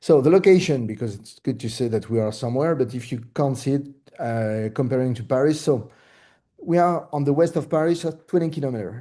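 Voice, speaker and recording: A man speaks at medium pitch in a French accent, his dark, mellow tone moving at a fairly quick pace with ordinary pitch variation over a quiet background. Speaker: real estate broker. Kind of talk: presentation. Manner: halting, many fillers.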